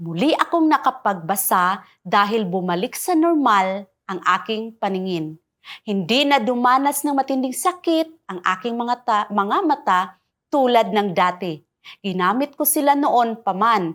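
At a fairly slow pace, a woman talks in a fairly high pitch with very wide pitch swings. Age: 50s. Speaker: product testimonial giver. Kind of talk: scripted testimony.

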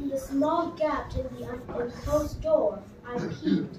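In a room with audible echo and noticeable background noise, a woman speaks at a high pitch with ordinary pitch variation. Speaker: poet. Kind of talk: poetry reading. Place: hall. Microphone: pa.

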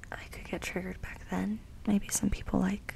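The voice is soft-spoken and whispering, at a moderate pace. Light background noise sits behind it. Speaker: nail painting creator. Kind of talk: casual soft-spoken tutorial chat. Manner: soft intimate ASMR whisper.

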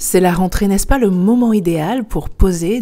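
A woman with a dark, mellow tone speaks fairly slowly with lively intonation. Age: 40s. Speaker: life coach. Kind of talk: vlog talk to camera. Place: home room. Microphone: lapel.

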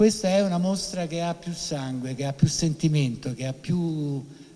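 A man with an unremarkable speaking voice talks at a fairly slow pace in a fairly high pitch, with ordinary pitch variation. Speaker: foundation president. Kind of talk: welcome speech.

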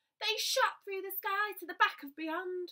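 A woman sings her words in a raised, projected voice with a bright, sharp tone. The background is quiet. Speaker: primary school teacher. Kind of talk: bedtime story reading aloud. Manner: animated, expressive; rhythmic, sing-song rhyming cadence. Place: home room. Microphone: phone near.

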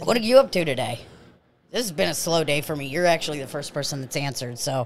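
Speaking at a very fast pace in a put-on character voice, a man sounds raspy, fairly high-pitched and lively in intonation, with light background noise. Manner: mouth full, chewing while talking.

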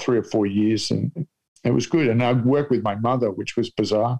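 Here a man with an Australian accent speaks at a fairly quick pace. His pitch is medium and his intonation fairly even. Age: 60s. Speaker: comedian. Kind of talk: casual chat. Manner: deadpan.

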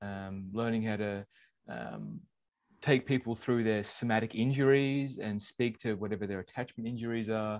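Against a quiet background, a man speaks at a moderate pace and medium pitch with ordinary pitch variation. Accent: Australian. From Australia (born in England). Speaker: podcast co-host, former corporate manager. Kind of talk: casual chat.

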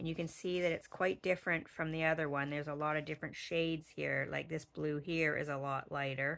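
A woman with a very deep, low voice speaks at a fairly quick pace in a monotone, flat way, with hardly any pauses. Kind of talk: tutorial.

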